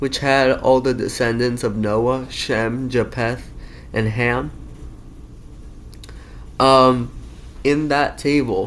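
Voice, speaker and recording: A man's medium-pitched voice at a very slow pace, with long, frequent pauses. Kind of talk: casual talk explaining an argument. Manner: stutters, halting.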